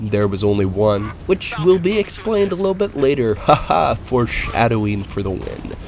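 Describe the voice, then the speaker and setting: Over noticeable background noise, a man at a medium pitch talks at a moderate pace with very wide pitch swings and hardly any pauses. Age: 20s. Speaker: gaming video host and writer. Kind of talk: let's play commentary. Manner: casual, with filler words.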